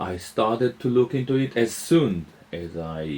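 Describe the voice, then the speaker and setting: A man's voice with very wide pitch swings. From Israel. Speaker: musician and author. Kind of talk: interview. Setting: interviewer's home. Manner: hesitant, many fillers.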